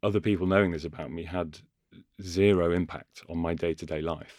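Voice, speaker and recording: A man speaks at a very deep, low pitch and a moderate pace. The recording is very clean, with a silent background. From Cheshire and Leicestershire, England. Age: 30s. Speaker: actor. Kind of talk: casual chat. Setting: studio.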